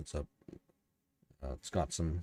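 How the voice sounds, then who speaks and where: A man speaks in a dark, mellow, calm and soothing tone. The sound is dry and close with no echo. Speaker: podcast host and novelist. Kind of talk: solo livestream commentary. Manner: halting, many fillers and restarts; calm, soothing.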